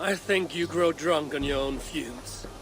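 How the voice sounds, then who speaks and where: A man puts on a raspy character voice, fairly high in pitch, at a moderate pace. Clear background noise can be heard. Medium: video game. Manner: steady, resolute.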